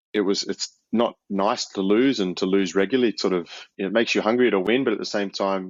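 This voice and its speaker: A man speaks very fast with an Australian accent. His voice sits fairly low, and his intonation stays fairly even. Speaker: professional rugby player. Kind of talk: casual interview.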